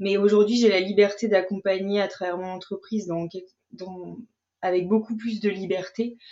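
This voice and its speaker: A woman's medium-pitched voice, monotone and flat in intonation, at a moderate pace with big swings in loudness. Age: 40s. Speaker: astrology mentor and coach. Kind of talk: casual chat.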